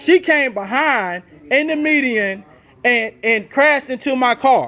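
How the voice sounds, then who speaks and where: A loud man's voice, extremely high in pitch, with ordinary pitch variation. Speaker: person disputing an insurance claim. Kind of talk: heated phone argument. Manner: insistent.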